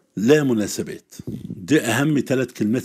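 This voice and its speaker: A man talks at a fairly slow pace with lively intonation. The recording is very clean, with a silent background. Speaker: Arabic literature teacher. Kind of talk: exam-prep lesson.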